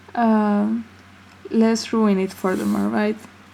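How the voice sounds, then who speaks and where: A mumbling woman with a non-native accent. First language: not English. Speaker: amateur artist. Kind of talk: casual talk to camera. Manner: mumbly.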